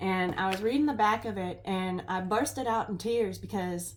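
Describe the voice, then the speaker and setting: A woman speaking at a fairly slow pace with fairly even intonation, noticeable background noise and audible room echo. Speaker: tarot reader. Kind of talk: tarot reading livestream monologue. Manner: halting, stumbling speech.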